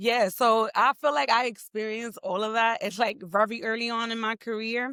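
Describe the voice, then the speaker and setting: In a very clean recording with a silent background and a dry, close sound with no echo, a woman with a New York accent speaks at a moderate pace in a bright, sharp, animated tone at a fairly high pitch. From New York, the Bronx. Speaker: entrepreneur and tech professional. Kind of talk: interview conversation.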